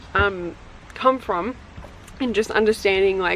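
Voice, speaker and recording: Against noticeable background noise, a woman speaks at medium pitch and a fairly slow pace. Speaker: tarot reader and witchy content creator. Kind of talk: casual haul video talk. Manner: casual, many fillers like um and like.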